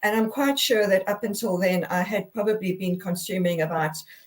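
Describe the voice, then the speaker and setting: A woman's somewhat breathy voice at a moderate pace, with fairly even intonation. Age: 60s. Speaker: guest sharing health journey. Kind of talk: testimony. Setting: live video broadcast. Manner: halting, many repetitions and fillers.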